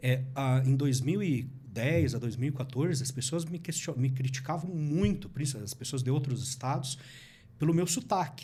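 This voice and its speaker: Audible room echo surrounds a man with a medium pitch and a dark, mellow tone. He is somewhat breathy, speaking at a moderate pace with ordinary pitch variation. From Paraná, Brazil (interior and Curitiba). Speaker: politician and digital marketing content creator. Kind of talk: podcast interview.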